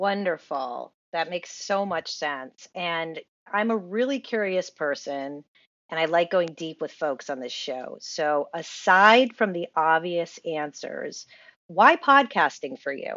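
A woman's fairly low voice with lively intonation, at a very slow pace. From Rhode Island. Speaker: podcast host, book coach. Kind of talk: interview.

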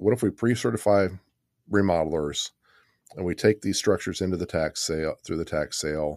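On a very clean recording with a silent background and a dry, close sound with no echo, a man with a normal speaking voice and an American accent talks fairly quickly with ordinary pitch variation. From Kansas City area, Missouri. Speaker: city planner. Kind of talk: casual interview. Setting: studio.

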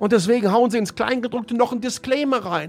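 Man's voice over noticeable background noise. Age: 50s. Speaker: tech podcast host. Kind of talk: solo commentary podcast. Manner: animated.

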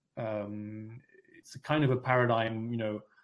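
A man is speaking with a French accent. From France, raised in London. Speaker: essayist and author. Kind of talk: interview.

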